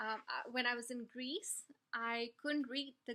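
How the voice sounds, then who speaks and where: Speaking very slowly, a woman uses a high pitch and a bright, sharp tone with ordinary pitch variation. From India. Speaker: travel vlogger. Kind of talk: informal talk to camera.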